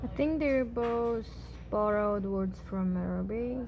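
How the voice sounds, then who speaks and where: Speaking at a very slow pace with a Xinjiang accent, a woman is heard amid audible room echo. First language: Uyghur. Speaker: language teacher. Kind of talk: tutorial. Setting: at home with housemates. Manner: hesitant, many fillers.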